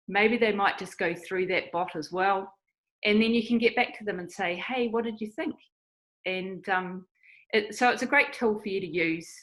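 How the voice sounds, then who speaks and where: A woman with a New Zealand accent and ordinary pitch variation. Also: medium pitch for a woman, moderate pace. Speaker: online evangelism missionary. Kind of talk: interview.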